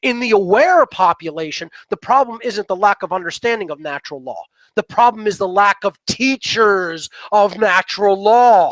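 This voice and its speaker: Speaking with a South Philadelphia accent, a man uses a high pitch and an animated tone with ordinary pitch variation at a moderate pace, in a dry, close sound with no echo. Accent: South Philly. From US Northeast, South Philadelphia. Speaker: natural law teacher, guest. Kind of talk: interview monologue. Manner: animated, emphatic.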